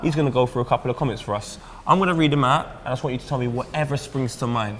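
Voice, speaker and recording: A medium-pitched man talks at a very fast pace with ordinary pitch variation. Noticeable background noise can be heard. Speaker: football presenter. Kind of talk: casual interview.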